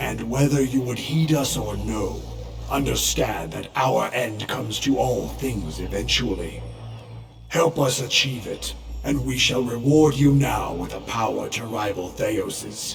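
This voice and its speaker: A man speaks at a fairly slow pace in a put-on character voice, with clear music playing in the background. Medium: video game. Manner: slow, solemn, imposing.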